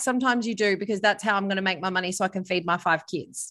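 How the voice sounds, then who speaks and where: A woman with an Australian accent speaks at a very fast pace in a bright, sharp tone against a quiet background. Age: 30s. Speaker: author and former radio host. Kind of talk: casual interview chat. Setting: remote call from holiday villa.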